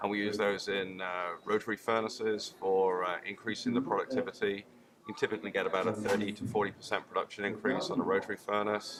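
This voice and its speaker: A man talks very fast in a British accent, his intonation fairly even. Noticeable background noise runs behind him. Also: fairly low pitch for a man. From UK. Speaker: chemical engineer, industrial gas technology manager. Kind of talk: trade show interview. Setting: trade show.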